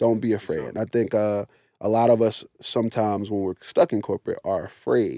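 The speech moves at a fairly quick pace. The sound is dry and close with no echo, on a very clean recording with a silent background. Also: man. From Philadelphia, West Philadelphia. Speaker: travel company founder. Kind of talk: casual interview.

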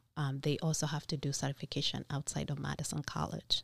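Showing vocal fry, a woman with a very deep, low pitch talks at a fairly quick pace in a very clean recording with a silent background. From Kenya. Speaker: nursing instructor. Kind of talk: interview.

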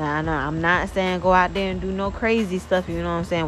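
Music plays behind a woman speaking at a medium pitch. Her pitch varies in an ordinary way. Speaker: podcast host. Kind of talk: casual solo talk. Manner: casual, with many fillers.

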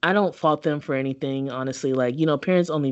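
Speaking fairly quickly with an American accent, a woman has a very deep, low pitch and ordinary pitch variation. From Kentucky and Prince George's County, Maryland. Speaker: podcast host. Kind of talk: casual chat.

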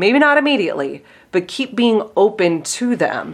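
A woman talks at a fairly slow pace with lively intonation in a slight Pittsburgh accent. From Pittsburgh, US. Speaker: life coach and podcast host. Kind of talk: casual interview chat.

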